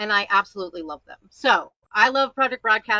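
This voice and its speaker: The voice carries an animated tone with ordinary pitch variation. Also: woman. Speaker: marketing consultant. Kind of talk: webinar presentation.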